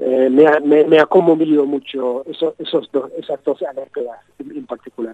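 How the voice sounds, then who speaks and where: With a fairly high pitch and fairly even intonation, a man speaks at a fairly slow pace in a dry, close sound with no echo. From Britain. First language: English (speaking Spanish). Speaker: journalist and author. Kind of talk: interview. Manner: halting, many repetitions.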